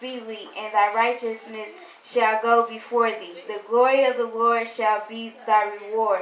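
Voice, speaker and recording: Noticeable background noise sits under a woman's fairly high voice. She speaks at a fairly slow pace with monotone, flat intonation. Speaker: church speaker giving a spoken word. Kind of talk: church sermon / spoken word delivery.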